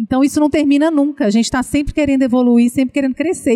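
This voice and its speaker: Her pitch high, a woman speaks with a dark, mellow tone in a dry, close sound with no echo. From Minas Gerais, Brazil. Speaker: children's content creator and speaker. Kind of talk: casual interview chat.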